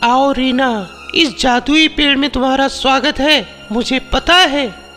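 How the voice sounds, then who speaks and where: With clear music in the background, a man does a cartoonish character voice at an extremely high pitch. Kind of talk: cartoon bedtime story. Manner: theatrical, commanding.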